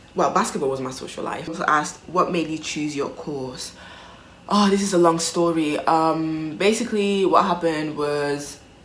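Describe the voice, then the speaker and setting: Through noticeable background noise and audible room echo, a woman with fairly low pitch speaks at a moderate pace with lively intonation. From Italy. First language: Italian. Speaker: vlogger. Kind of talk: casual chat. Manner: hesitant, many fillers.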